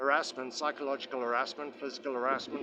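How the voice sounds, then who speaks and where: With a monotone, flat intonation, this man talks at a fairly high pitch. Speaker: vlogger. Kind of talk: personal video monologue. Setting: outdoors at magistrates court. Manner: halting, many fillers.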